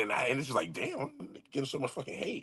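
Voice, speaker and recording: Against a quiet background, a man with a bright, sharp tone and vocal fry speaks at a medium pitch with very wide pitch swings. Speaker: livestream host. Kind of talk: casual livestream commentary. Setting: livestream. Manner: casual, profane.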